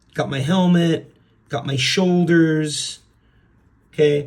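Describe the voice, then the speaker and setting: A man speaks at a very slow pace with monotone, flat intonation. His voice sounds somewhat breathy. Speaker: art teacher. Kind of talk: drawing tutorial.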